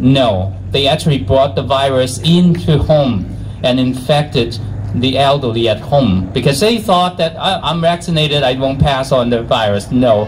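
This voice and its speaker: Over noticeable background noise and audible room echo, a man with a Chinese accent speaks at a medium pitch and a moderate pace, his intonation lively and his loudness very even. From China. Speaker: physician and activist. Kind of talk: rally speech. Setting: outdoor rally with crowd. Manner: halting.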